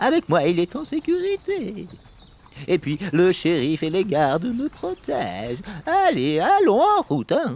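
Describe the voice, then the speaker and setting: Using a put-on character voice pitched high for a man, he speaks at a fairly slow pace. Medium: read story. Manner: petulant, self-important.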